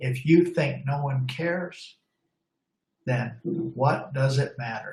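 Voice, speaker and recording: A somewhat breathy voice at a very slow pace, with long, frequent pauses and ordinary pitch variation. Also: man, fairly high pitch for a man. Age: 60s. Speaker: law enforcement trainer. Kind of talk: webinar presentation. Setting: online webinar. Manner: halting, with fillers.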